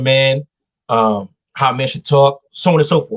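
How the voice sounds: This man's fairly bright tone has ordinary pitch variation and a dry, close sound with no echo.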